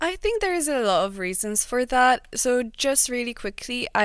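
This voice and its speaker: Lively intonation and a moderate pace mark this speech in a Polish accent, captured in a very clean recording with a silent background. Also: woman. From Poland. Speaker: digital marketer. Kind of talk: casual chat.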